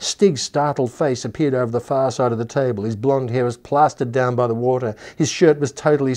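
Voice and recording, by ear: A passage is read aloud in a natural voice.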